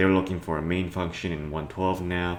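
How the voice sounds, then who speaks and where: A man's voice, very deep and low, rings with audible room echo. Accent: Cantonese. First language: Cantonese. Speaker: programming tutorial youtuber. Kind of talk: tutorial. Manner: casual, hesitant with fillers.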